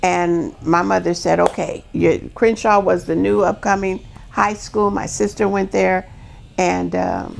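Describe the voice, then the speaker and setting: Music plays in the background. A woman with an American accent speaks at a fairly slow pace. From US West Coast, Los Angeles. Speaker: guest. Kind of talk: casual chat.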